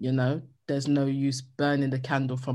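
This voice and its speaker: Her pitch is very deep and low, and this woman's tone comes across dark and mellow. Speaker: journalist. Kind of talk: interview. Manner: loud; animated.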